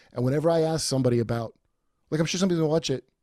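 A man's dark, mellow voice with an American accent. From New York. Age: 40s. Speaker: comedian and podcast host. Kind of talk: casual chat. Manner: halting.

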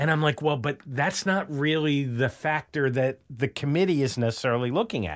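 Fairly high pitch for a man, a plain, everyday voice, moderate pace, and a very clean recording with a silent background. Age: 50s. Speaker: sports analyst. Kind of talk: interview.

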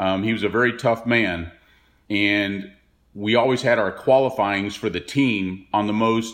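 This is an unremarkable speaking voice with an American accent. The pace is fairly slow, with ordinary pitch variation. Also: man. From Texas (Dallas). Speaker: retired professional golfer. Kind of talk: interview recollection.

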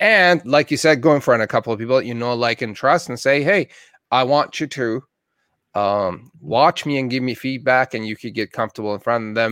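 A man's mid-range voice goes at a rather fast clip, its pitch varying in a typical way. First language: not English. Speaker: podcast host. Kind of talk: interview. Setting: video call.

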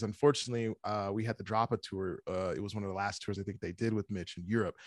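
A man talks at a very fast pace in an American accent, with a dry, close sound and no echo. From US Midwest. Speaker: metal band vocalist. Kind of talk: casual interview. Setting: video call.

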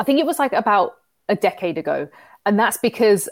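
With a London accent, a woman speaks at a fairly quick pace with lively intonation on a very clean recording with a silent background. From London, England. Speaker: fitness coach and entrepreneur. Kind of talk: casual interview chat.

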